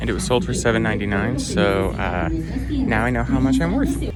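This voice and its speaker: A man speaks at a very fast pace with vocal fry. His pitch is medium. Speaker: sewing and fashion vlogger. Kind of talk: tutorial. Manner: playful, jokey.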